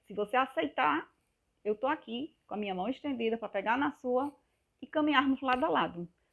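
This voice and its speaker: In a northeastern Brazilian accent, a woman speaks at a moderate pace in a high pitch, with lively intonation and an animated tone. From Northeast Brazil, Pernambuco. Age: 50s. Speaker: health vlogger. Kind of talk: casual vlog monologue.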